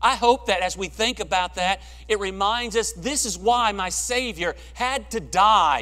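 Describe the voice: In a bright, sharp tone, a man speaks at a fairly slow pace with a high pitch. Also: ordinary pitch variation.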